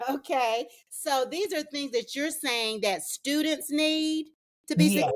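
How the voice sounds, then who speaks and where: Her lively intonation rides on a high voice as the woman talks at a fairly slow pace. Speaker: e-learning strategist and online instructor. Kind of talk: interview host questions.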